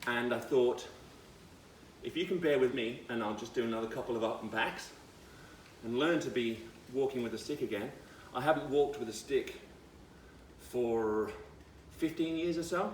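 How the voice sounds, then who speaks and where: Noticeable background noise sits behind a man with a medium pitch. He takes long, frequent pauses, and his pitch variation is ordinary. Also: moderate pace. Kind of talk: casual vlog monologue.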